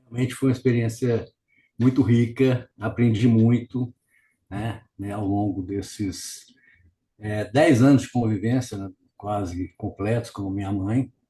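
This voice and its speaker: This man talks at a fairly slow pace in a medium pitch, his tone dark and mellow. The intonation stays fairly even, the voice is somewhat breathy, and the loudness swings widely. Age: 70s. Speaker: family caregiver, retired civil engineer. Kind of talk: interview. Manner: halting.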